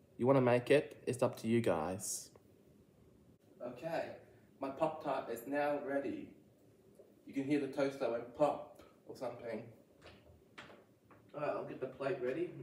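A man's fairly high voice at a moderate pace, with ordinary pitch variation, big swings in loudness, long and frequent pauses, and noticeable background noise. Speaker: food reviewer. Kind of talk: casual vlog review.

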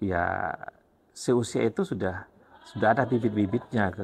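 At a moderate pace, a man talks over light background noise. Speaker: teacher and interviewer. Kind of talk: casual interview. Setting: school library. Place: studio. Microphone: lapel.

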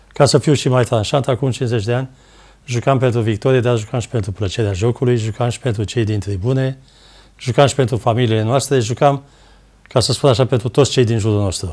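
Against a quiet background, a man talks at a fairly quick pace in a somewhat breathy voice with fairly even intonation. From Romania, Ploiești; Romania. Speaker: former footballer; guest, football commentator. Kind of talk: TV talk show interview. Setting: TV studio. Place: studio.

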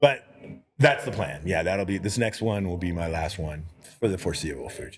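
A man with an American accent talks at a fairly quick pace in a very deep, low voice. He sounds somewhat breathy, with light background noise. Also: ordinary pitch variation. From Houston, Texas. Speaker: artist and game creator; podcast guest, game creator. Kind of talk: casual chat. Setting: brewery. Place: bar. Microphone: handheld.

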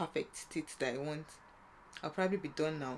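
A woman speaks at a fairly quick pace in a very deep, low voice, with ordinary pitch variation over light background noise. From Nigeria. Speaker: vlogger; university student. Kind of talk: casual vlog. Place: home room. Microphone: phone near.

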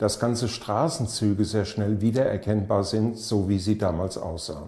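A man speaks at a moderate pace with a fairly low pitch and a dark, mellow tone that is somewhat breathy. Audible room echo surrounds him, though the background is quiet. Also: ordinary pitch variation. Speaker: project introducer. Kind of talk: documentary narration. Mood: calm, earnest. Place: home room.

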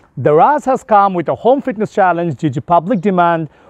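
A man speaks at a moderate pace with very wide pitch swings, the sound dry with no echo and the background quiet. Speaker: fitness trainer. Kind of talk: promotional fitness tutorial intro. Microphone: lapel.

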